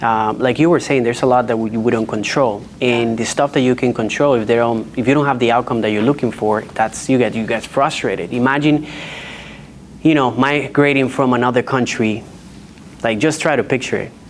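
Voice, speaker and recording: A man with a strong Dominican accent speaks fairly quickly at a medium pitch with fairly even intonation, amid noticeable background noise. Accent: heavy Dominican Spanish. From Dominican Republic. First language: Spanish. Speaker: real estate agent. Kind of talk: panel discussion. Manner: halting, with restarts.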